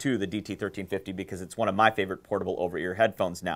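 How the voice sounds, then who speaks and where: An enthusiastic man speaks at a very fast pace on a very clean recording with a silent background. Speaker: headphone community founder and video host. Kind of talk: video show presentation.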